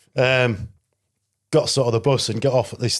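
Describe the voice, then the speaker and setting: In a Yorkshire accent, a man speaks at a medium pitch on a very clean recording with a silent background. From northern England, Selby, North Yorkshire. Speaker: security risk consultant and former legionnaire. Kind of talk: podcast interview. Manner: casual, conversational.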